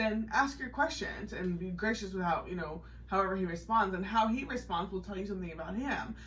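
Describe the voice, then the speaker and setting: Amid audible room echo and noticeable background noise, a woman speaks very fast at a medium pitch with ordinary variation. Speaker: podcast co-host. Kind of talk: casual chat. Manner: animated.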